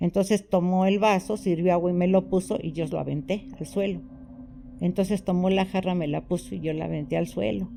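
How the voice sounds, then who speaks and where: A woman keeps a fairly quick pace while music plays behind her. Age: 70s. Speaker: orphanage abuse survivor. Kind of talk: testimony.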